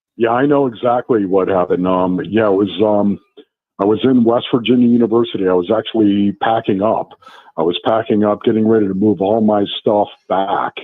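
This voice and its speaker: Fairly low in pitch, a man with an unremarkable speaking voice keeps fairly even intonation and very even loudness. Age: 60s. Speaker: former NFL player and radio analyst. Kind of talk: casual radio interview. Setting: live radio broadcast from a restaurant.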